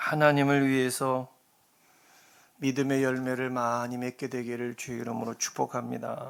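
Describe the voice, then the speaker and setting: A man talks at a moderate pace and medium pitch in a monotone, flat intonation. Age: 60s. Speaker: pastor. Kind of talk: sermon. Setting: church.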